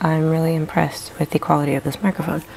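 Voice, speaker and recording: Against noticeable background noise, a woman speaks in a soft-spoken way. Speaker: wood burning and mixed media artist. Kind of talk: casual vlog chat. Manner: soft-spoken, quiet.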